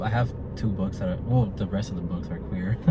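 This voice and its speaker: A man speaks at a very fast pace. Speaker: podcast host. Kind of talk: casual book review monologue. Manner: stuttering at times; animated.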